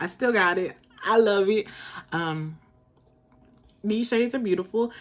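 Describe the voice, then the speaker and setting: A woman with a normal speaking voice talks at a moderate pace, using a medium pitch and ordinary pitch variation. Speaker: beauty vlogger. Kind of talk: casual haul/collection review. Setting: home, informal in pajamas.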